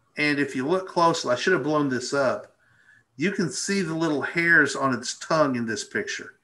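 Speaking with an Arkansas accent, a man has a fairly high pitch, ordinary pitch variation and a bright, sharp tone. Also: moderate pace. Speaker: birding presenter. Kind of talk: casual educational chat. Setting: live video stream. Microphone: video call.

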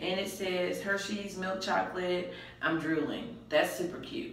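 There is noticeable reverberation from the room. Through it, a female speaker talks. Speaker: vlogger with a reborn baby doll. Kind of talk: casual vlog chat. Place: bathroom. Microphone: camera far.

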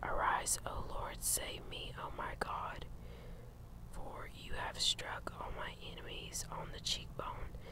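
Soft-spoken speech at a very slow pace, with loud background noise and a dry sound with no echo. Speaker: Bible reader. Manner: soft, hushed ASMR reading voice. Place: garden. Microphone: phone near.

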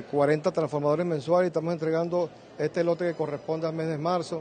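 A man rattles along at a very fast pace with light noise behind him. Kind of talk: press statement. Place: hall. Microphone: handheld.

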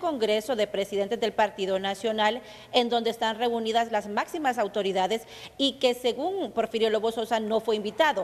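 A woman speaks in an ordinary speaking voice, fairly high in pitch, at a fairly quick pace. Her pitch varies in an ordinary way against a quiet background. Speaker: TV reporter. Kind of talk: live report. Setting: on location at an event.

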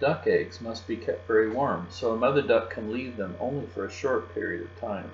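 Someone is doing plain reading aloud.

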